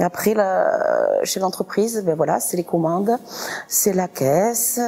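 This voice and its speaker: With lively intonation, a woman speaks at a very slow pace against noticeable background noise. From southern France, Toulouse area (Saint-Orens). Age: 40s. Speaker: restaurant owner. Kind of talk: interview. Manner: hesitant, many fillers.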